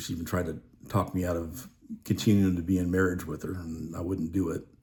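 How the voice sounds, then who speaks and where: Very deep and low in pitch, a man speaks at a moderate pace with a dark, mellow tone, a somewhat breathy quality and fairly even intonation. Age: 60s. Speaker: widower sharing grief experience. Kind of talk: personal testimony monologue. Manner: halting, many fillers.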